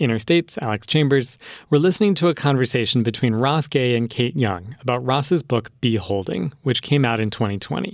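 A normal speaking voice runs at a fairly quick pace with lively intonation and hardly any pauses, on a very clean recording with a silent background. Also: man, medium pitch for a man. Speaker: radio host. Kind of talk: scripted radio hosting. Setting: studio. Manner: clear and measured.

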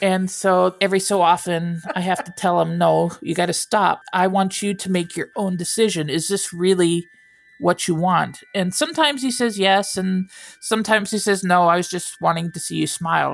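The pace sits at a moderate level. It's an unremarkable speaking voice, with ordinary pitch variation. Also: woman, medium pitch for a woman. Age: 50s. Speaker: semi-retired user of an AI companion app. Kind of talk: interview testimony.

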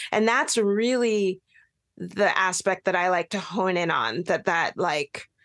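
In a normal speaking voice, a woman talks at a fairly slow pace, with a dry, close sound with no echo and a quiet background. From Pacific Northwest US (Bellingham, Washington). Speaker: adoptee advocate and author. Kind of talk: radio interview.

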